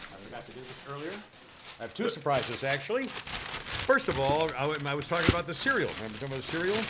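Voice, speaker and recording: A man with a fairly high pitch at a very fast pace, very wide pitch swings and big swings in loudness, over noticeable background noise. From upstate New York. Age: 70s. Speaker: podcast host. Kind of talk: casual chat. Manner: halting, many fillers.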